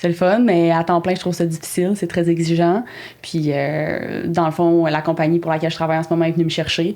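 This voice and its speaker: A dark, mellow tone carries monotone, flat intonation at a fairly quick pace. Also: woman. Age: 20s. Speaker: horticulture teacher and project manager. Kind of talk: podcast interview.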